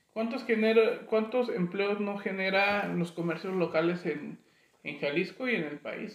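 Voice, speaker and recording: At a fairly slow pace, a man talks in a high-pitched voice with ordinary pitch variation. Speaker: podcast host. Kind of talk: casual chat. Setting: studio with video camera.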